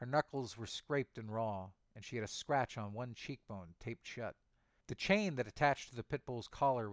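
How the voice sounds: Pitch shifts in an ordinary way throughout a natural reading voice.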